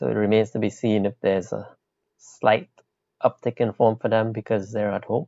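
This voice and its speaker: A man's fairly low voice with vocal fry, ordinary pitch variation and a moderate pace. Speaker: fantasy football podcast co-host. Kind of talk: casual chat.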